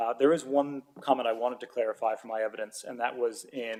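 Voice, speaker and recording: A man with an American accent, medium-pitched and talking very fast. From United States. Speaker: golf tourism and hospitality expert. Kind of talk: public hearing submission. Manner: hesitant, with frequent fillers.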